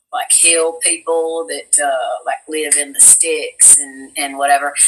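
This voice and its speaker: Over a noticeable hum of background noise comes a fairly slow delivery in an American accent. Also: woman. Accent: Southern US, comes and goes, thick at times. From US South, Tennessee (Cookeville area). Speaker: voice actress. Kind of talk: casual chat.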